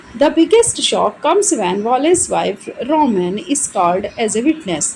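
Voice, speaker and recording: Over noticeable background noise, a woman speaks at a high pitch with very wide pitch swings. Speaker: English literature teacher. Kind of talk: exam-oriented literature lecture in Hindi-English mix.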